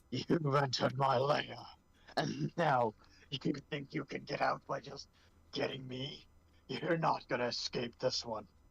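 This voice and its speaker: A man puts on a raspy, cackling character voice at a medium pitch. He talks at a fairly slow pace. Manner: cackling, menacing.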